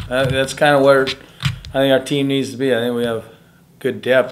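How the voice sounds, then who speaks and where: A man talks at a moderate pace while light background noise sits underneath. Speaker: basketball coach. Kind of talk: interview answer. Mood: relaxed, pleased after win. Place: office.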